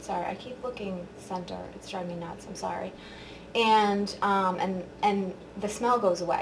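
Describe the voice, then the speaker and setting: Amid noticeable background noise and audible room echo, a woman talks at a moderate pace with medium pitch and fairly even intonation. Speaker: beauty vlogger. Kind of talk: product review tutorial. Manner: casual, filler-heavy.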